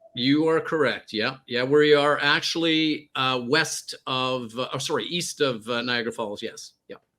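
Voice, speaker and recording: A fairly high-pitched male voice with a slight Canadian accent, fairly slow and with hardly any pauses, its intonation fairly even. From Canada. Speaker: former peacekeeper and hostage negotiator. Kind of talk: radio interview, personal story.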